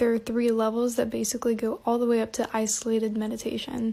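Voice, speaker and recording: A woman with a fairly high pitch and a dark, mellow tone talks at a fairly quick pace in a very clean recording with a silent background. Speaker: art tutorial creator. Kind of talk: tutorial.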